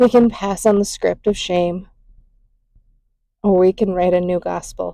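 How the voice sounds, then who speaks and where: The woman speaks at a fairly slow pace. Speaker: mother, spoken word creator.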